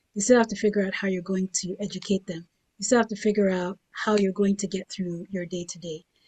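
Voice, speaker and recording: A woman talks fairly quickly at a medium pitch, her voice somewhat breathy. Her intonation stays flat and monotone while her loudness swings widely. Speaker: writer and panelist. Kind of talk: panel discussion.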